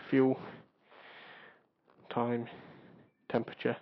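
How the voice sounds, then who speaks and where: Soft-spoken and at a moderate pace, a man talks at a medium pitch with a British accent. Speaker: motorcycle vlogger. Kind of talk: vlog, bike review. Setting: outdoors on a motorbike.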